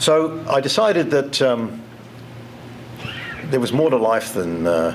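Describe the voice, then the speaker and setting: Very wide pitch swings come through audible room echo and noticeable background noise. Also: man. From England, then Toronto, Canada from age 14. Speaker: keynote speaker. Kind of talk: motivational speech. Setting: conference stage with audience. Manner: halting, many repeats and fillers.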